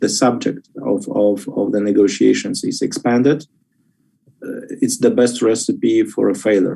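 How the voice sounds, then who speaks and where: Moderate pace from a man with a Polish accent. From Poland. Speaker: policy expert. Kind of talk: expert panel discussion. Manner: halting.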